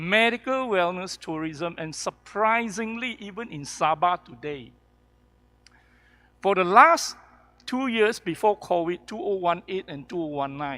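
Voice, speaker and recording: A man projects a raised voice at a high pitch, his bright, sharp tone moving through lively intonation and big swings in loudness. He speaks fairly slowly on a very clean recording with a silent background. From Kuala Lumpur, Malaysia. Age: 60s. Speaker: professor and healthcare entrepreneur. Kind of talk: panel discussion.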